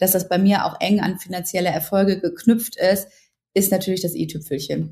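A woman speaks at a moderate pace in a dark, mellow tone that is somewhat breathy. Her intonation stays fairly even. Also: medium pitch for a woman. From Ruhr area, Germany. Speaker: journalist and blogger. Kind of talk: interview.

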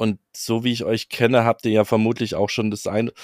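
The recording is very clean with a silent background. The sound is dry and close, with no echo. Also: man. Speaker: camping podcast co-host. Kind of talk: casual chat.

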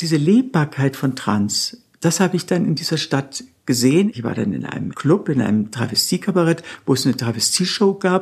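The voice is somewhat breathy, moving at a moderate pace with very wide pitch swings. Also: woman, very deep, low pitch for a woman. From Bavaria, Nuremberg. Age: 60s. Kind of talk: interview.

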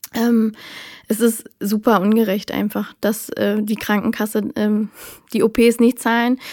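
Speaking at a very slow pace, a woman keeps a monotone, flat intonation. Her pitch is fairly high. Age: 30s. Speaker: podcast guest living with lipedema. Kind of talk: casual interview chat.

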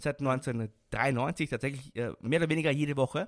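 In an Austrian accent, a man speaks with a fairly high pitch, and the sound is dry and close with no echo on a very clean recording against a silent background. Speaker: wrestling expert and commentator. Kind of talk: interview.

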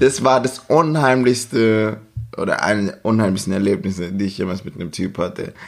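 Lively intonation marks this man's unremarkable speaking voice, which sits at a fairly low pitch and a moderate pace. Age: 30s. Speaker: podcast guest. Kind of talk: casual chat. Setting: at the guest's home in Stuttgart.

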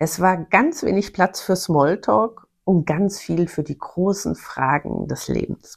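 Using vocal fry and lively intonation, a woman speaks at a fairly low pitch and a very slow pace with hardly any pauses. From Bavaria (Bavarian Forest). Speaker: podcast host, self-employed former marketing manager. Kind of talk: personal storytelling monologue. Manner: animated.

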